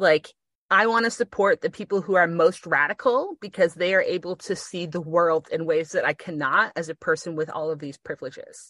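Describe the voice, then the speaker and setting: Set against a quiet background, an unremarkable speaking voice carries ordinary pitch variation. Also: woman, fairly low pitch for a woman, fairly quick pace, dry, close sound with no echo. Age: 30s. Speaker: podcast co-host. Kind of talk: casual chat. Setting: makeshift studio on a bunk bed with blankets.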